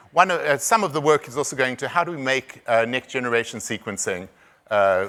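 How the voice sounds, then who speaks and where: The tone is bright and sharp, in a South African accent. The speech comes at a very fast pace. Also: man. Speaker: conference speaker on rare disease diagnosis. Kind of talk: conference presentation. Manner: halting, many repetitions and fillers.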